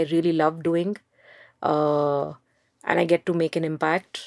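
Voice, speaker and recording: A woman speaks with an Indian accent and a fairly low pitch. The recording is very clean, with a silent background. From India, Mumbai. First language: Hindi. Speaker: education entrepreneur. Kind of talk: interview.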